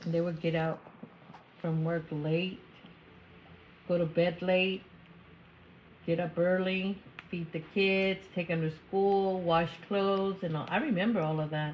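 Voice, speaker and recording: The voice is somewhat breathy, with monotone, flat intonation. It moves at a fairly slow pace with long, frequent pauses. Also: woman, fairly low pitch for a woman. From US, Mexican-American community. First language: Spanish. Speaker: interviewee. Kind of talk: interview.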